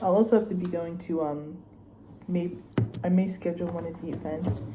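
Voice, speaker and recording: With an American accent, a woman speaks at a moderate pace in a fairly low pitch with ordinary pitch variation and long, frequent pauses, amid noticeable background noise and audible room echo. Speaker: student vlogger. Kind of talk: casual vlog unboxing. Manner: animated.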